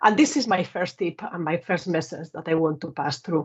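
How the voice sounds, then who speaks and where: A woman with a Spanish accent talks at a fairly quick pace in a fairly low, somewhat breathy voice. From Spain. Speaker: telecom engineer and manager. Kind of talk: conference talk.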